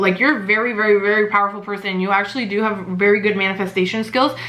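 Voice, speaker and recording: Talking very fast at a medium pitch, a woman is heard with noticeable background noise and audible room echo. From Mexico. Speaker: tarot reader. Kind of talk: tarot reading. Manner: halting.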